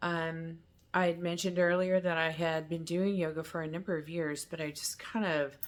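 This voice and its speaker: At a moderate pace, a woman speaks in a normal speaking voice, fairly low in pitch with fairly even intonation. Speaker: lifestyle vlogger. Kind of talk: casual vlog talk to camera.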